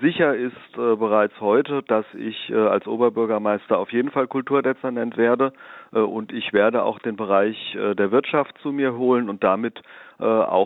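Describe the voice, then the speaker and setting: The speaker is a man with a medium pitch. He goes at a fairly slow pace with ordinary pitch variation. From Germany, Darmstadt (southern Hesse). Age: 50s. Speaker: local politician, mayoral candidate. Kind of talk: political interview. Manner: frequent filler hesitations (äh).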